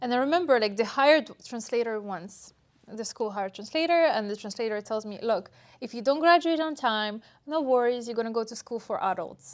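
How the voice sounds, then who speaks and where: The speaker uses an ordinary speaking voice with lively intonation, a fairly quick pace and big swings in loudness, heard in a very clean recording with a silent background. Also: woman, fairly high pitch for a woman. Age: young. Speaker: mural artist. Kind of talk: interview.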